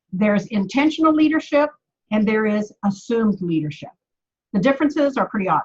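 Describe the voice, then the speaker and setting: A woman's fairly high, somewhat breathy voice at a fairly quick pace, with very wide pitch swings. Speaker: sales team trainer. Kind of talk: training webinar. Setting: video call. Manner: fast.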